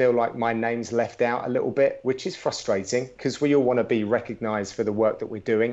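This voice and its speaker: Speaking in a British accent, a man keeps a medium pitch and fairly even intonation. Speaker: MMA commentator. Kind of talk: interview.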